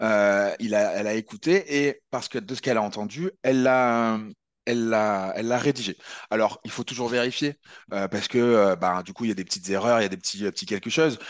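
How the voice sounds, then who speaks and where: Over a quiet background, a man talks at a fairly quick pace. His pitch is medium and varies in an ordinary way. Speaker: video editing trainer. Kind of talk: webinar tutorial. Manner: fast; halting.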